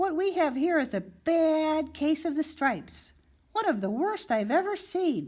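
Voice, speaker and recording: A woman does a squeaky put-on character voice with an extremely high pitch, very wide pitch swings, a warm, gentle tone, very even loudness and a moderate pace. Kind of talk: bedtime story. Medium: read story.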